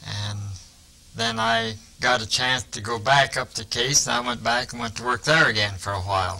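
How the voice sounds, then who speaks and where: At a moderate pace, a man with an American accent speaks in a medium pitch with fairly even intonation over noticeable background noise. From eastern Iowa, Muscatine County. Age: 70s. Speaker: retired factory worker. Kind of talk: interview.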